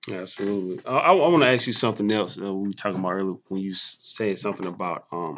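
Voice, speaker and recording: Speaking fairly quickly in an unremarkable speaking voice, a man with fairly low pitch and ordinary pitch variation is heard over a quiet background. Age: 20s. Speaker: podcast host. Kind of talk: casual interview. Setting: in person.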